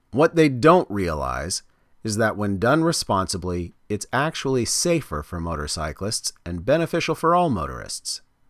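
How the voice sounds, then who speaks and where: On a very clean recording with a silent background, a man speaks at a moderate pace in an American accent. His fairly low voice moves in very wide pitch swings. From California. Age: 50s. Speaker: motorcycle vlogger. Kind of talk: scripted narration.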